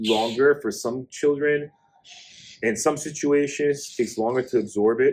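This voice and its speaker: The man's pitch is medium and varies in an ordinary way as he talks at a moderate pace. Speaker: podcast co-host, father. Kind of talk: casual chat. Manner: loud; animated.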